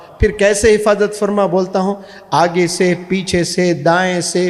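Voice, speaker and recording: A high-pitched man speaks in a monotone, flat way over noticeable background noise. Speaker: motivational speaker and English teacher. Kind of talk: Islamic motivational speech to an audience.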